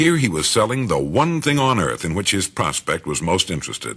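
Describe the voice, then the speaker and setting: A man with an American accent talks at a fairly quick pace with very wide pitch swings. His tone is bright and sharp, with vocal fry. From United States. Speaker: radio broadcaster. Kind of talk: motivational spoken-word recording.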